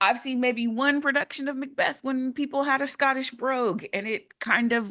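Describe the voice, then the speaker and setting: Against a quiet background, a woman speaks at a moderate pace. Her pitch is high and her tone bright and sharp. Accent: Bay Area. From California, San Francisco Bay Area. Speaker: actor. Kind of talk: casual chat.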